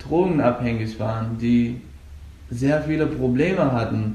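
A man speaks at a moderate pace. Audible room echo and noticeable background noise fill the recording. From Afghanistan. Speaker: Brazilian jiu-jitsu coach and competitor. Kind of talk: interview. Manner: halting.

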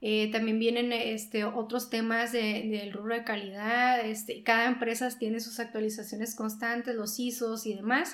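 A woman's fairly high, flat, monotone voice at a moderate pace, with audible room echo. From Sonora, Mexico. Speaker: journalist and newspaper co-founder. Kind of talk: interview.

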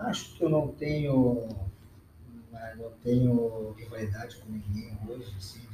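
Amid noticeable background noise and audible room echo, a man speaks fairly slowly at a medium pitch with fairly even intonation, long, frequent pauses and big swings in loudness. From southern Brazil, Rio Grande do Sul. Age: 50s. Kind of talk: casual interview.

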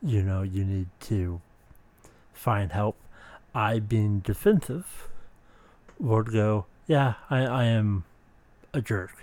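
Very slowly, a man speaks with long, frequent pauses. His pitch is fairly low. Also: ordinary pitch variation. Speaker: podcast host. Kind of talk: personal monologue about mental health. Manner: halting, many fillers.

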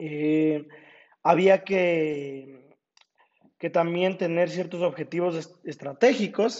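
A high-pitched man at a very slow pace, with ordinary pitch variation and long, frequent pauses. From Ecuador, Ambato. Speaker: law student. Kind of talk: project presentation. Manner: halting, frequent repetitions.

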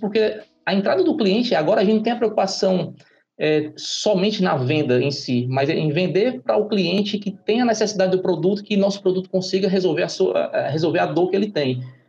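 A high-pitched man at a fairly quick pace, lively intonation and very even loudness. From Ceará, Brazil. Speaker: startup founder. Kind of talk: interview. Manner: halting, repeats words.

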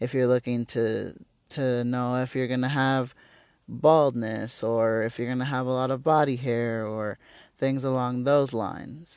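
Against a quiet background, a man speaks at a fairly slow pace in a medium pitch with monotone, flat intonation. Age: 30s. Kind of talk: solo monologue podcast. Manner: casual with many fillers.

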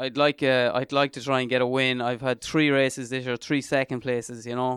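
A man with an Irish midlands accent speaks at a medium pitch with monotone, flat intonation. The sound is dry and close with no echo, a very clean recording with a silent background. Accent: Irish (north midlands). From Ireland, County Leitrim. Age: 30s. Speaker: ultra trail runner. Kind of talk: interview.

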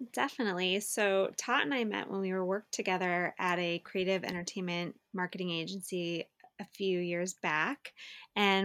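Recorded very cleanly against a silent background, with a dry, close sound and no echo, a woman with an American accent has a normal speaking voice at a medium pitch and fairly even intonation. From Los Angeles, San Fernando Valley. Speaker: podcast co-host. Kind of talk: casual chat.

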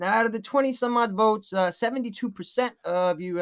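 The recording is very clean, with a silent background. The speaker has an American accent. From New York. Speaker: podcast host. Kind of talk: casual commentary. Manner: halting, many fillers.

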